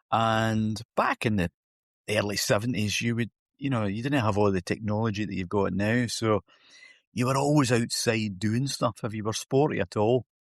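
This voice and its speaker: In a northeastern Scottish accent, a man with a medium pitch and fairly even intonation speaks at a moderate pace, the sound dry and close with no echo against a quiet background. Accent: Scottish, north-east. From north-east Scotland, Huntly. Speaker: golf coach. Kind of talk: podcast interview. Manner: hesitant, repeating words.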